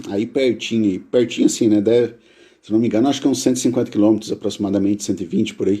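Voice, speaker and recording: The tone is dark and mellow, with fairly even intonation. The pace is very fast. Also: man, medium pitch for a man. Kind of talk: live-stream talk with chat Q&A. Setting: live stream. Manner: casual, chatty.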